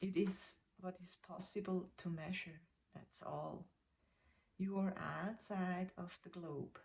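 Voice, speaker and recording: Speaking in a non-native accent, a woman with a medium pitch and a somewhat breathy voice goes at a very slow pace with long, frequent pauses and monotone, flat intonation. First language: not English. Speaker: spiritual content creator. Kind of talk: reading aloud. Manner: halting.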